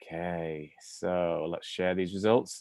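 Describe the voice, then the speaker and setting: There is an English accent on this man's voice. Everything behind him is quiet. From England. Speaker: university admissions representative. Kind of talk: webinar presentation.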